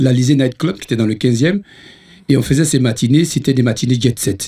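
The man's tone is dark and mellow. He speaks at a medium pitch with ordinary pitch variation. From Ivory Coast. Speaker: musician. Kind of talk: casual chat.

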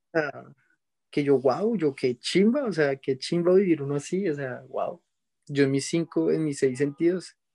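This man's voice sits at a fairly high pitch, with a dark, mellow tone and ordinary pitch variation. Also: dry, close sound with no echo. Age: 20s. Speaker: DJ. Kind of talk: casual interview, life story.

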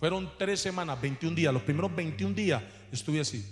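A man speaks at a fairly slow pace in a fairly high pitch. His pitch swings very widely. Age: 40s. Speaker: pastor. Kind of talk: sermon. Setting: church.

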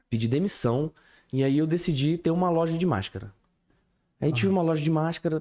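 Recorded dry and close with no echo, a man with a fairly high pitch talks at a very fast pace. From various Brazilian cities, military family. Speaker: podcast host. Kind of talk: casual chat.

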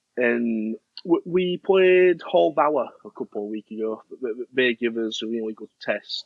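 A man with a Yorkshire accent, medium in pitch, at a fairly slow pace, with very wide pitch swings and big swings in loudness. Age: 20s. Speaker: amateur cricket captain. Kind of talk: interview.

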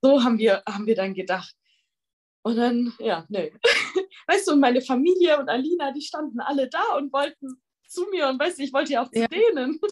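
A woman's high voice with very wide pitch swings, a fairly quick pace, and long, frequent pauses. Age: 20s. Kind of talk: casual interview.

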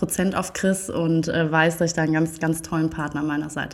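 The speech moves at a fairly quick pace with monotone, flat intonation. Noticeable background noise is present. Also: woman. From Germany. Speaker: TV presenter. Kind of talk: casual chat. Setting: in a living room.

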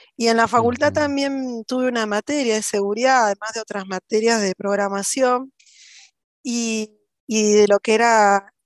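A woman's fairly high voice, an ordinary speaking voice, at a fairly slow pace with fairly even intonation and a dry, close sound with no echo. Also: quiet background. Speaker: cybersecurity professional and instructor. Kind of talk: interview.

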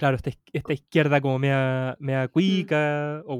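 A man with a Chilean accent and fairly even intonation, in a dry, close sound with no echo. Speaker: podcast co-host. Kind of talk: casual chat.

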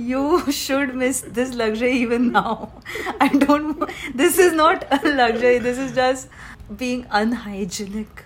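Noticeable background noise sits under this recording. A woman speaks at a high pitch and a very slow pace. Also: ordinary pitch variation. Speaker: podcast co-host. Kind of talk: casual chat.

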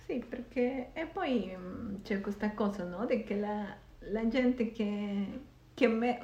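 A woman speaks very slowly in a fairly high pitch with ordinary pitch variation, leaving long, frequent pauses over noticeable background noise. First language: Spanish (speaking Italian). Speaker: podcast host. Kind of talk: casual chat.

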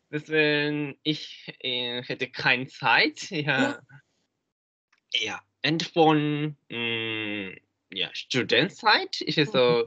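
With a bright, sharp tone and lively intonation, a man speaks at a very slow pace in a fairly high voice, leaving long, frequent pauses, in a dry, close sound with no echo. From Japan. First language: Japanese (speaking German). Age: 20s. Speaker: German learner. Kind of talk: interview. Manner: halting.

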